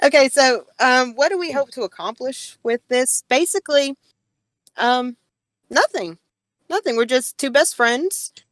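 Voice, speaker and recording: A woman's high voice in a strong Southern US accent, with lively intonation, a fairly slow pace and long, frequent pauses, in a dry, close sound with no echo. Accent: strong Southern US country twang. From US South. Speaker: podcast co-host. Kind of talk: casual chat. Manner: animated.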